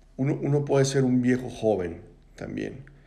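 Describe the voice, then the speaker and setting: A man talks at a moderate pace in a dark, mellow tone. His pitch varies in an ordinary way, and the room echo is audible. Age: 40s. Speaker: podcast host. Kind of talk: reflective monologue. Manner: casual, conversational.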